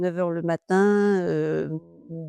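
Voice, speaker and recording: A woman's flat, monotone delivery in a dry, close sound with no echo, over music in the background. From Normandy, France. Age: 70s. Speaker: retired hairdresser. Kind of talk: interview.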